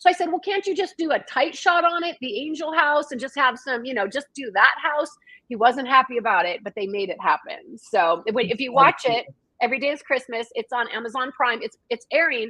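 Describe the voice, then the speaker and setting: A woman with an American accent speaks in a raised, projected voice at high pitch and a fairly quick pace. Her tone is animated, bright and sharp, with very wide pitch swings. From Washington state, US. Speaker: author and screenwriter. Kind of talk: casual chat. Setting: livestream video call. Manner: fast.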